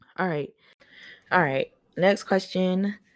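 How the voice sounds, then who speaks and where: At a fairly slow pace, a woman speaks in an animated tone on a very clean recording with a silent background. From Boston, Massachusetts. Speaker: podcast host. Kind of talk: casual storytelling monologue.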